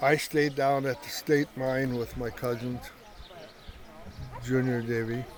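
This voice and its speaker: A man's medium-pitched, monotone, flat delivery at a fairly slow pace, with long, frequent pauses and noticeable background noise. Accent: American. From western South Dakota, rural. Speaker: family elder, grandfather. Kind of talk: family interview, reminiscing. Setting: family gathering at home ranch. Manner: halting.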